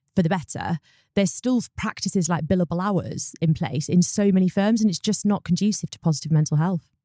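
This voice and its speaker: In a British accent, a woman with a dark, mellow tone and medium pitch talks at a moderate pace with ordinary pitch variation, the sound dry and close with no echo. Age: 30s. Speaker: solicitor and law firm founder. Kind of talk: interview.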